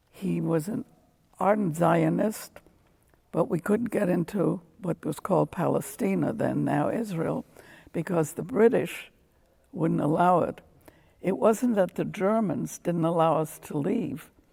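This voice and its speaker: This woman has a fairly low pitch with ordinary variation and vocal fry. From Germany. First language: German. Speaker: Holocaust survivor. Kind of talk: testimony.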